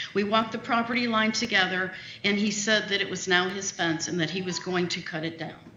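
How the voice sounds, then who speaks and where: A woman of medium pitch talks at a fairly quick pace with fairly even intonation, with audible room echo and noticeable background noise. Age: 60s. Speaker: citizen speaking at public meeting. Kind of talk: public comment at a county meeting. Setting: meeting room with PA microphone. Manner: fast.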